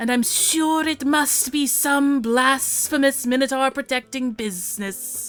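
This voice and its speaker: A woman's put-on character voice at a fairly slow pace with hardly any pauses, music in the background. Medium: actual play. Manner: formal, courteous.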